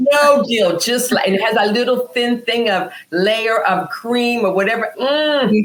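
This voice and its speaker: A woman talks with very even loudness and hardly any pauses. Noticeable background noise is present. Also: ordinary pitch variation, fairly slow pace. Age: 60s. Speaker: wellness entrepreneur. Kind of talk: casual interview chat.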